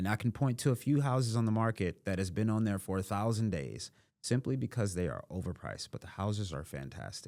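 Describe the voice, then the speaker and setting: The recording is very clean with a silent background, and a man speaks in an unremarkable speaking voice. His pitch is fairly low, his intonation lively, and he moves at a fairly quick pace with hardly any pauses. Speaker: real estate investor. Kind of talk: podcast interview.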